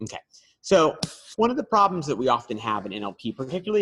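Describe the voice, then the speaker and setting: Recorded dry and close with no echo, a man speaks at a fairly quick pace with lively intonation. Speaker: seminar presenter. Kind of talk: lecture. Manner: halting, many fillers.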